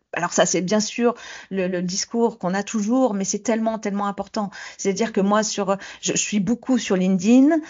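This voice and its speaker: Here is a woman with a normal speaking voice at a medium pitch. She keeps a moderate pace and fairly even intonation. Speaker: former lawyer turned property manager. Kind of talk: interview.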